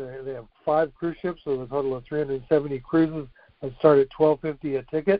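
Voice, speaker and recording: An unremarkable speaking voice belongs to a man with an American accent who talks at a fairly high pitch and a fairly slow pace, his intonation fairly even. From Texas. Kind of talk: casual chat.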